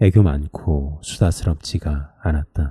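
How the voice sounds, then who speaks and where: At a fairly slow pace, a man speaks in a dark, mellow, somewhat breathy tone, with a dry, close sound and no echo. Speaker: sleep-book reader. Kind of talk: sleep story book reading.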